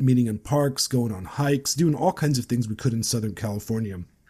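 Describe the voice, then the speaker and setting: The voice is somewhat breathy, with a dark, mellow tone. Its pitch variation is ordinary. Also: man. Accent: American. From United States, Romanian-born. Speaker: podcast host. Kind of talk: casual interview chat.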